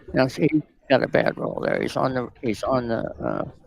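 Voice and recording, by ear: A soft-spoken, croaky man's voice at medium pitch, with vocal fry, very wide pitch swings and a moderate pace.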